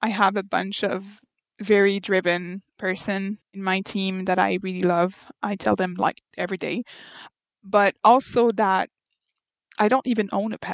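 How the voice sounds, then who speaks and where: A woman with a Quebec accent at a medium pitch and moderate pace, fairly even in intonation with long, frequent pauses, against a quiet background in a dry, close sound with no echo. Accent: Québécois French. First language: French. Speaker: veterinary architect. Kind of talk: interview.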